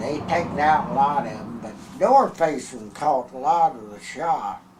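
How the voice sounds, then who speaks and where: Over noticeable background noise, a man with a Texas accent talks at a fairly slow pace in a fairly high pitch, his loudness swinging widely. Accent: rural Texas drawl. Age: 80s+. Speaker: former bootlegger. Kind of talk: oral history interview. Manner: halting.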